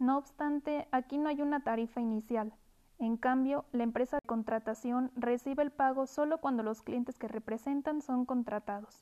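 With a high pitch and a dark, mellow tone, a woman talks at a moderate pace with fairly even intonation in a dry, close sound with no echo. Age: 20s. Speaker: university student. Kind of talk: scripted school presentation. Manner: formal.

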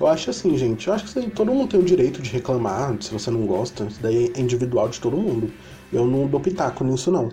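A man at a very fast pace with lively intonation, against noticeable background noise. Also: medium pitch for a man. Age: 20s. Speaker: podcast host. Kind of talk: casual chat. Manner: animated.

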